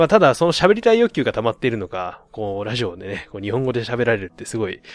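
Very fast talk from a man, with ordinary pitch variation. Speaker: podcast host. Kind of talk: casual solo monologue.

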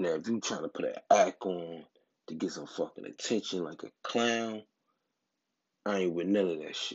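Speaking with an American accent, a man with a very deep, low pitch keeps a moderate pace, ordinary pitch variation and long, frequent pauses. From Atlantic City, New Jersey. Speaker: podcast host. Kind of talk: casual commentary.

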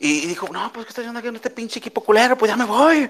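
Here a man sounds animated. His pitch swings are very wide. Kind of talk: casual chat. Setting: live audio room online.

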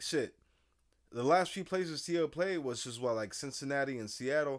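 With ordinary pitch variation, the clip carries an unremarkable speaking voice. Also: man, very clean recording, silent background. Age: 30s. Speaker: podcast host. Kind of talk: casual chat.

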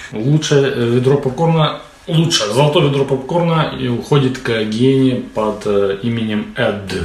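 A man with a medium pitch speaks at a fairly slow pace with lively intonation. Audible room echo and noticeable background noise are present. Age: adult. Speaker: podcast host. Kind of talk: casual chat. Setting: studio.

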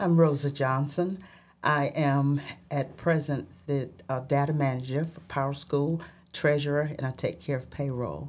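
A woman with a Southern US accent talks at a fairly slow pace, with a very deep, low pitch and fairly even intonation. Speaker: school treasurer and data manager. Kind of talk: casual interview.

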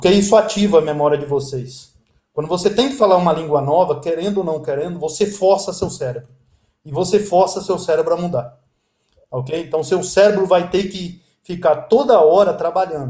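A man speaks in a high voice with ordinary pitch variation. His loudness swings widely. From Brasília, Brazil. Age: 50s. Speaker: Java developer. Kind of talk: interview.

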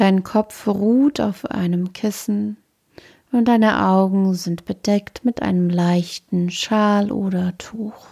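The voice has a dark, mellow tone and a calm, soothing manner, moving at a very slow pace. The sound is dry and close, with no echo. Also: woman, medium pitch for a woman. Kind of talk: guided meditation (yoga nidra body scan). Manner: slow, calm, soothing; soft-spoken, with long pauses between short phrases.

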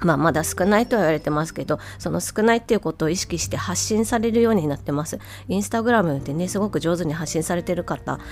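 A woman with a fairly low pitch speaks at a very fast pace with very wide pitch swings over noticeable background noise. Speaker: speech-language therapist and podcast host. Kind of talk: solo podcast talk.

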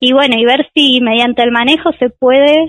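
Her voice sits high, and the woman speaks at a fairly slow pace with fairly even intonation. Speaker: biology doctoral student. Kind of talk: radio interview.

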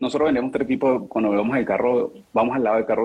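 A man's very fast pace of speech. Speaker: car salesman. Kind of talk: casual chat. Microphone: far from the mic.

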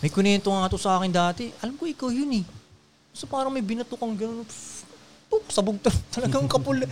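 Speaking at a very fast pace, a man uses a high pitch with lively intonation. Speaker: podcast host. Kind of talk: casual chat. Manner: animated.

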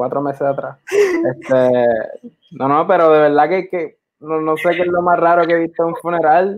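Talking at a fairly slow pace with hardly any pauses, a man speaks at a high pitch. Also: ordinary pitch variation. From Puerto Rico. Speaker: filmmaker. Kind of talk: interview.

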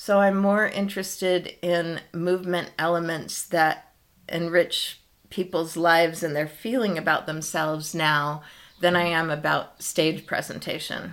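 In a very clean recording with a silent background, a woman with an unremarkable speaking voice talks at a fairly slow pace in a fairly low voice with fairly even intonation. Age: 60s. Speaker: yoga and dance teacher. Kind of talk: casual interview chat.

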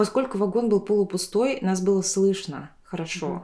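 A woman speaks at a medium pitch in a Tuvan accent. Her tone is dark and mellow, with ordinary pitch variation. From Tuva, Russia. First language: Tuvan (speaking Russian). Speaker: podcast host. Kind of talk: casual chat. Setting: at a friend's home.

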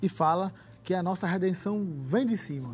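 The man's voice sits high. Lively intonation runs through his delivery. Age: young. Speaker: young church member, law student. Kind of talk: religious talk show discussion.

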